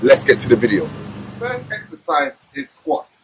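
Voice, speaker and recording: A male speaker with light noise behind him. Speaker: fitness trainer. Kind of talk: workout tutorial. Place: street.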